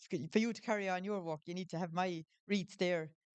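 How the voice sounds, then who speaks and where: In a Tipperary accent, a woman speaks at a fairly low pitch with ordinary pitch variation, the sound dry and close with no echo. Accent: Irish, Tipperary. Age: 60s. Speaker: florist. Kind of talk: casual chat. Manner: halting.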